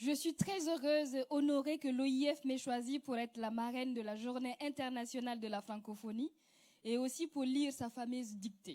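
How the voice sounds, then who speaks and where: A woman talks at a moderate pace with a high pitch. Her tone is dark and mellow. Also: ordinary pitch variation. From West Africa, Mossi-speaking. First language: Moore (speaking French). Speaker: actress and comedian. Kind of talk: prepared speech, reading aloud.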